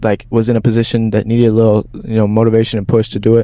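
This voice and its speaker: The tone is dark and mellow. The delivery moves at a very fast pace. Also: man. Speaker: podcast host. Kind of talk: casual interview. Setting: outdoors.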